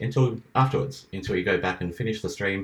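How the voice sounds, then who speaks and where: Somewhat breathy, a man with an Australian accent talks at a fairly quick pace with lively intonation. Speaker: live streamer. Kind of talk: casual chat.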